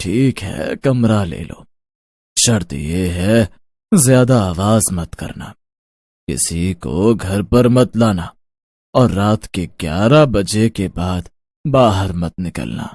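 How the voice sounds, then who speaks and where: Putting on a cartoonish character voice, a man speaks fairly slowly at a fairly low pitch. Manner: curt, commanding.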